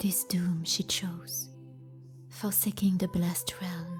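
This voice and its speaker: A woman with a French accent speaks very slowly at a medium pitch. Music plays in the background. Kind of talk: fantasy book reading.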